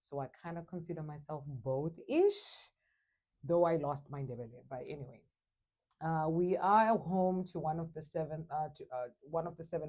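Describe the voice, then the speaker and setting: A woman's very deep, low voice in a Zimbabwean accent, dark and mellow in tone, with ordinary pitch variation, a moderate pace and big swings in loudness. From Zimbabwe, Matabeleland then Shona. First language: Shona. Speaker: English teacher. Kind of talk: interview.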